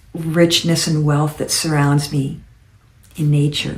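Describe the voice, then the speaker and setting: Over audible room echo, a woman speaks in a very deep, low pitch, somewhat breathy and monotone, with flat intonation. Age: 70s. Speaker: lifestyle vlogger. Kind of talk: casual monologue. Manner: halting.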